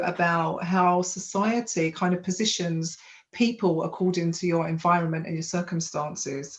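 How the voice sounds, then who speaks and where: In a London accent, a woman speaks at a moderate pace with a fairly low pitch. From London (Hackney). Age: 40s. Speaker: women's empowerment coach. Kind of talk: life story testimony.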